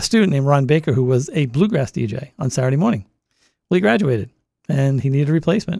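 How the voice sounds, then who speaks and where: A man speaks very fast with a Boston accent. His voice sits fairly high for a man. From Massachusetts, Boston area. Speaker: radio host. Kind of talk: casual interview chat. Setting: studio.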